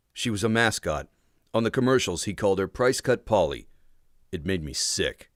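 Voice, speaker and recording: A man speaks with vocal fry. The recording is very clean, the background silent. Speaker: audiobook narrator, voice talent. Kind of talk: audiobook narration of a young adult novel. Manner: first-person, tense, action-driven narration.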